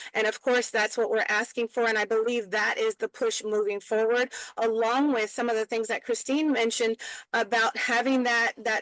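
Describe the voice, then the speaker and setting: A woman with a fairly high pitch uses a normal speaking voice and fairly even intonation, in a dry, close sound with no echo against a quiet background. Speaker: prison reform advocate. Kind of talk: webinar panel talk.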